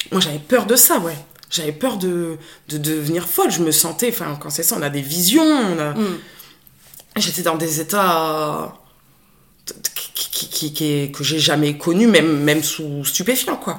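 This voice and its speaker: The speaker goes at a very slow pace with long, frequent pauses and ordinary pitch variation, amid noticeable background noise and audible room echo. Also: woman. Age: 30s. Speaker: special educator. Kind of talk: personal testimony in conversation.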